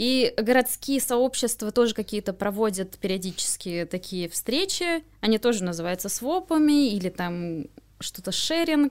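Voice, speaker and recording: A woman's fairly high voice at a fairly slow pace, with very wide pitch swings. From Moscow, Russia. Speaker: swap event organizer. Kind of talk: casual interview.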